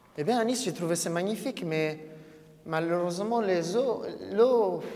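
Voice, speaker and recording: A man with a non-native accent, high-pitched for a man, at a fairly slow pace with ordinary pitch variation, plus audible room echo and noticeable background noise. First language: not French (speaking French). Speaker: event moderator. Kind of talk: live talk to audience. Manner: halting.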